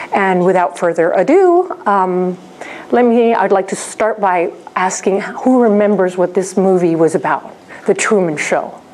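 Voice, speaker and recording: A woman at medium pitch and a fairly slow pace, with very even loudness, ordinary pitch variation and noticeable background noise. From raised abroad in seven countries, Spanish. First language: Spanish (bilingual with English). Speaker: researcher and lecturer. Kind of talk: conference presentation. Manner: hesitant, many fillers.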